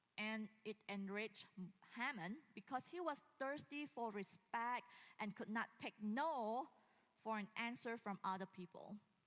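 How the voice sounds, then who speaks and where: Using a normal speaking voice, a woman talks at a fairly slow pace and fairly high pitch with ordinary pitch variation. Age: 40s. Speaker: pastor. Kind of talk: sermon. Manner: casual, with frequent fillers and laughs.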